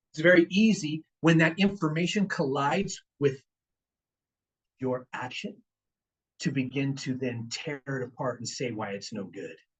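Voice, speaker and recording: Somewhat breathy, a man speaks in a fairly high pitch with lively intonation. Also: long, frequent pauses. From Richmond, California. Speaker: guest speaker on finance and investing. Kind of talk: seminar talk to a live audience. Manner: fast; animated.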